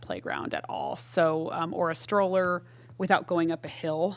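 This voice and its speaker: A woman speaks with an American accent. Her pitch is fairly low and varies in an ordinary way. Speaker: parks commission member. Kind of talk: public meeting discussion. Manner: fast.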